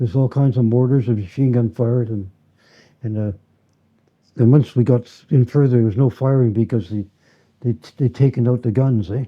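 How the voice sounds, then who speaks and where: In a Canadian Prairie accent, the speaker moves at a fairly quick pace with fairly even intonation and long, frequent pauses. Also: man, medium pitch for a man. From Winnipeg, Canada. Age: 80s+. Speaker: war veteran. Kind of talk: interview answer.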